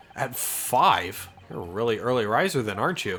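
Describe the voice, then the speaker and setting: A man's put-on character voice at medium pitch, moderate pace, and very wide pitch swings. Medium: game stream. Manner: loud, cheery.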